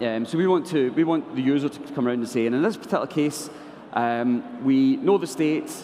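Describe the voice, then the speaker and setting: A man's fairly high voice, with lively intonation at a fairly quick pace, over noticeable background noise. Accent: Scottish. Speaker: software developer. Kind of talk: conference tech talk. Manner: halting, many fillers.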